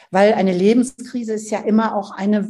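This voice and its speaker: Breathiness comes through somewhat. The tone is mellow and dark. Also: woman. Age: 60s. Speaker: author and family counselor. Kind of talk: interview.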